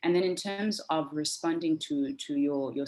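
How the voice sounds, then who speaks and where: Against noticeable background noise, a woman with a very deep, low voice speaks at a moderate pace, her pitch swinging very widely. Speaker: civil society advocate. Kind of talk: panel discussion. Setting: video call. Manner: halting, many fillers and repetitions.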